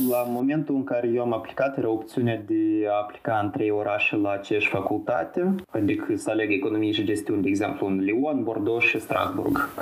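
Over noticeable background noise, a man talks at a fairly quick pace. He hardly pauses at all. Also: very even loudness. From Moldova, Chișinău. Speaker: master's student. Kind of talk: interview.

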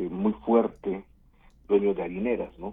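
A man talks fairly slowly, his intonation flat and monotone. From Veracruz, Mexico (Coatzacoalcos). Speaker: trade association president. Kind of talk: radio interview.

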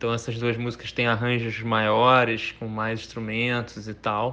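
Bright and sharp in tone, a man's voice moves at a fairly slow pace in a flat monotone. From Rio de Janeiro. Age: middle-aged. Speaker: singer-songwriter. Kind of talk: interview.

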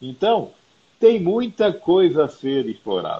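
Very wide pitch swings at a very slow pace. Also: man. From Brazil, Mato Grosso do Sul (Campo Grande). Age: 50s. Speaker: company founder and CEO. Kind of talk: interview.

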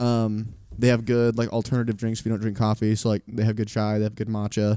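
A man's medium-pitched, dark, mellow voice at a fairly quick pace. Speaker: student podcast host. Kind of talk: casual chat.

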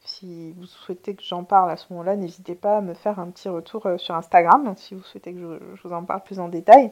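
On a very clean recording with a silent background, a woman speaks fairly quickly at a medium pitch with fairly even intonation. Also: hardly any pauses, big swings in loudness. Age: 30s. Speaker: podcast host and therapist. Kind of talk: casual solo monologue. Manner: spontaneous, hesitant with fillers.

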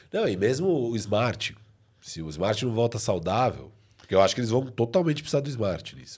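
The voice shows big swings in loudness and very wide pitch swings. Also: man. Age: 30s. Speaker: basketball podcast co-host. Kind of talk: casual sports debate. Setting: live stream.

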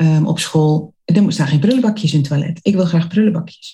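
A woman speaks with a dark, mellow tone and a fairly low pitch. Her voice is somewhat breathy, with ordinary pitch variation. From Netherlands, Zwolle (Overijssel). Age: 40s. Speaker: entrepreneur and college coach. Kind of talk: casual interview.

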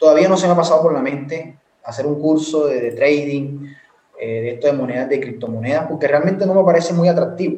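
The speaker is a man with a fairly high pitch. His pitch varies in an ordinary way, and audible room echo surrounds him. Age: 20s. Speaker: university student and entrepreneur. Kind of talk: casual chat.

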